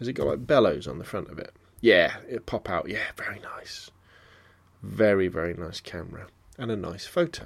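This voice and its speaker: A man with a southern English accent is heard in a very clean recording with a silent background. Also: moderate pace. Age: 40s. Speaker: photography podcaster. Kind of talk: casual solo podcast monologue.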